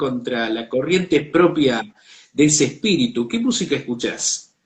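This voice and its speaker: A man with a plain, everyday voice speaks at a fairly slow pace. His pitch is fairly high. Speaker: online show host. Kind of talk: interview.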